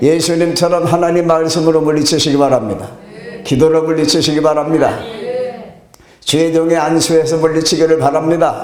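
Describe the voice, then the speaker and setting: A man at a fairly high pitch and moderate pace, with audible room echo and noticeable background noise. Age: 70s. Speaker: pastor. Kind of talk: sermon.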